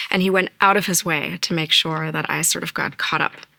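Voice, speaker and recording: A woman with a very deep, low pitch speaks at a fairly quick pace through noticeable background noise. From Germany, then US from age ten. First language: German. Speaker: lawyer. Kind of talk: interview.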